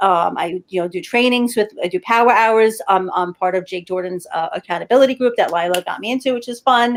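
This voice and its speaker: With a Brooklyn accent, a woman talks at a fairly high pitch and a fairly quick pace, with hardly any pauses and ordinary pitch variation, in a dry, close sound with no echo. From New York City, Brooklyn. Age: 50s. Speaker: health and wellness entrepreneur. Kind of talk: casual interview chat. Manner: animated.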